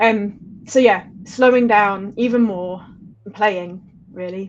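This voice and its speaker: Speaking very slowly, a woman keeps a fairly even intonation while her loudness swings widely. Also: medium pitch for a woman. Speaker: ambient-electronic musician. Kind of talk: interview. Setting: live stream.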